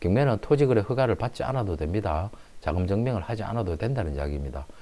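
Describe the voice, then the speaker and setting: Dark and mellow, a man's fairly low voice moves at a fairly quick pace. His pitch swings very widely. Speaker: real estate auction agent. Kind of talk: property explainer and pitch.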